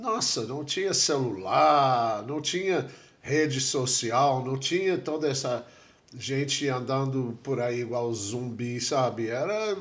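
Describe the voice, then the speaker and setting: With an English accent, a man speaks at a very slow pace, his medium pitch carrying lively intonation amid audible room echo. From USA. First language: English (speaking Portuguese). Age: 70s. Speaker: tattoo artist and writer. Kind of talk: interview.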